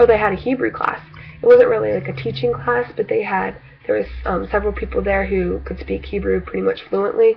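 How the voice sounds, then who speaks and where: A woman's fairly quick speech over noticeable background noise. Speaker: video blogger. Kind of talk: casual vlog monologue. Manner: stuttering, hesitant with many fillers.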